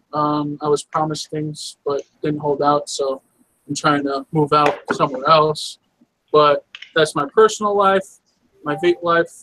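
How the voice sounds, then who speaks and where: In a New York accent, the speaker talks at a fairly slow pace with a bright, sharp tone and fairly even intonation, in a dry, close sound with no echo. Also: man, fairly high pitch for a man. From New York City. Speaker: vape reviewer. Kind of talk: casual chat.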